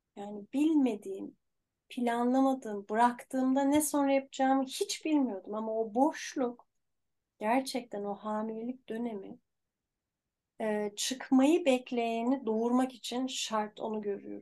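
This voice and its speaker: The voice has a dark, mellow tone with ordinary pitch variation. It moves at a fairly slow pace. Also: woman, high pitch for a woman. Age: 50s. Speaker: life coach. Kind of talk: casual chat.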